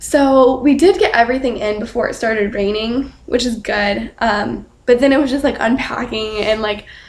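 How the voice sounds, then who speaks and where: A woman speaks quietly in a shaky, fairly high voice with ordinary pitch variation, and there is noticeable background noise. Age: young. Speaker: student vlogger. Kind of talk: casual vlog. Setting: dorm room at night. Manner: quiet, hushed.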